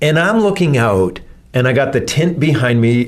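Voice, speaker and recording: In audible room echo, a man talks at a fairly slow pace with ordinary pitch variation. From Canada. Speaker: church podcast host, pastor. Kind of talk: casual chat.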